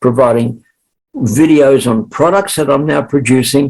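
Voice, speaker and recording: Speaking with an Australian accent, this man uses a medium pitch and ordinary pitch variation. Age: 70s. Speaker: sales trainer and author. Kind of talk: interview.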